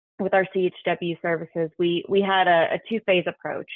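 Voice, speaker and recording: This woman has an unremarkable speaking voice. Her pitch sits fairly low, and she keeps a moderate pace. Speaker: state health agency staff presenter. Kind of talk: webinar presentation.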